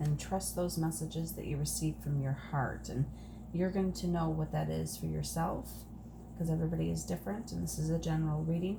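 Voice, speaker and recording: Soft-spoken and fairly quick, a woman talks with audible room echo and noticeable background noise. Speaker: tarot card reader. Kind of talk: oracle card reading.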